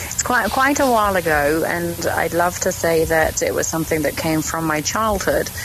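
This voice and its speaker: Over noticeable background noise, a woman talks in a fairly low voice with a British accent. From Germany, then England. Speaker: animal communicator. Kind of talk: podcast interview.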